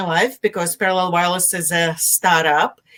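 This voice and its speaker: Speaking at a moderate pace, a woman has a Russian accent. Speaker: tech marketing executive. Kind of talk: interview. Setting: live video stream.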